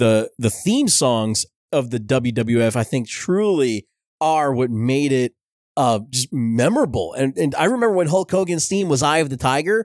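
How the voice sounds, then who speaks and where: With an American accent, a man of medium pitch speaks in an animated tone with lively intonation at a moderate pace, in a very clean recording with a silent background and a dry, close sound with no echo. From US, New Jersey (Belleville). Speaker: podcast host. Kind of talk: casual podcast monologue on pop culture history.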